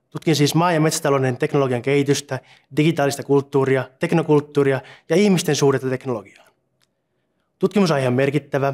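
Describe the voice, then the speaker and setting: The man's intonation is fairly even. He speaks at a very fast pace. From Finland, Satakunta (Punkalaidun); Finland. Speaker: doctoral researcher. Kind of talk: scripted self-introduction. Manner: formal. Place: office. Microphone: lapel.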